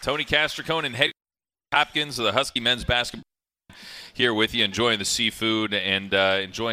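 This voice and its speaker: A man with an ordinary speaking voice at a medium pitch, a fairly quick pace and lively intonation, on a very clean recording with a silent background. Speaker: radio show host. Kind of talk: sports radio interview.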